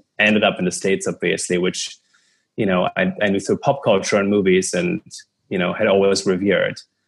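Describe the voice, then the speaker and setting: A man talks at a fairly quick pace with a German accent. The recording is very clean, with a silent background. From Germany, Cologne. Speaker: media entrepreneur. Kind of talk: interview.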